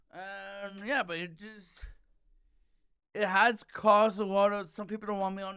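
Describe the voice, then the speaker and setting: With a raised, projected voice, a man speaks at a moderate pace, his high pitch carrying a bright, sharp tone. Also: big swings in loudness. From Canada, Toronto area. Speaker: stand-up comedian. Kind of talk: casual chat. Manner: halting, repeats sounds.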